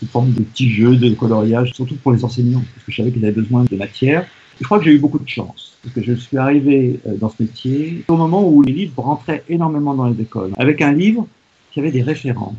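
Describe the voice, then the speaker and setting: Very fast and medium in pitch, this man's speech has ordinary pitch variation, with noticeable noise behind it. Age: 70s. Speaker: children's author-illustrator. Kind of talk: interview. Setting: remote interview.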